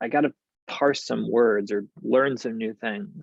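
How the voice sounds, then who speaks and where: This man's voice sits at a medium pitch with lively intonation. He talks at a moderate pace against a quiet background. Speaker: actor and reflective vlogger. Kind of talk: personal reflective monologue. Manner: halting, many repetitions and false starts.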